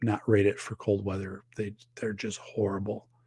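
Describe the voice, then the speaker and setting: Somewhat breathy, a man with an Upper Midwest US accent speaks at a fairly slow pace in a very clean recording with a silent background. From northern Wisconsin. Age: 50s. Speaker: podcast host and safety expert. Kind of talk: casual livestream chat reading viewer comments.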